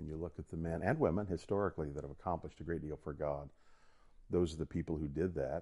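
A man races along at a very fast pace in a very deep, low pitch, his tone dark and mellow and his intonation fairly even. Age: 50s. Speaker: theologian and faculty member. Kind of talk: casual chat.

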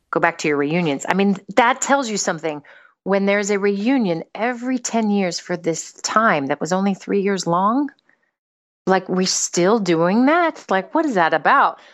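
Using an unremarkable speaking voice, a woman with an American accent talks at a medium pitch and a moderate pace with lively intonation. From United States. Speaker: psychotherapist. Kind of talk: casual chat. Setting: remote call.

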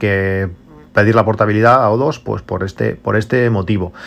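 A man's medium-pitched voice moves at a moderate tempo. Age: 40s. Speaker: tech podcaster. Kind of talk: solo podcast monologue. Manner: halting, frequent repetitions and fillers.

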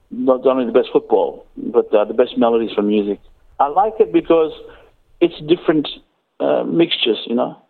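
The man's pace is moderate. Long, frequent pauses break up his speech. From Australia, Cairns, Queensland. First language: English (speaking Portuguese). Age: 40s. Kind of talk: interview. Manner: halting.

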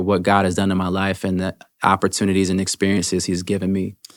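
A man with an American accent and a plain, everyday voice speaks at a moderate pace on a very clean recording with a silent background. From Washington DC area, US. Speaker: pastor. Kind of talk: casual interview.

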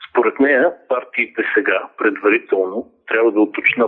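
A man is speaking. His pace is moderate. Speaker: political commentator. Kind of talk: interview.

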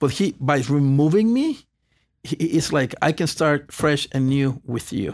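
A man with a Spanish accent speaks at a fairly slow pace and a fairly high pitch, with ordinary pitch variation, in a very clean recording with a silent background. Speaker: pastor. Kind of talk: testimony. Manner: halting.

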